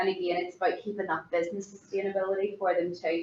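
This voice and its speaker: A woman with a Belfast accent, medium in pitch. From Northern Ireland, East Belfast. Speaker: hospitality professional, keynote speaker. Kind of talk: conference keynote presentation. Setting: conference forum. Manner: informal, conversational.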